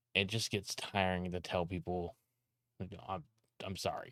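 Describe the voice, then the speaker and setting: Shouting in an American accent at a fairly slow pace, a man's very deep, low voice comes through a very clean recording with a silent background. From California. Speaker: streamer and video editor. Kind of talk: casual vlog monologue. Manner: loud, often sounds like yelling; rambling, halting with restarts.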